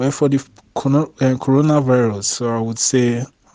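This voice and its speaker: At a very slow pace, a man with a dark, mellow tone talks at a medium pitch in a monotone, flat intonation. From Nigeria. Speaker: refugee worker. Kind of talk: personal report.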